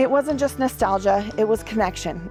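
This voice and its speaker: The speech moves at a fairly quick pace. Music is playing in the background. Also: woman. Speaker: podcast host. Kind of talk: podcast interview.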